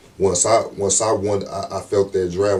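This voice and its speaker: Over noticeable background noise, a man speaks at a fairly low pitch. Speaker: rapper. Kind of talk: casual interview.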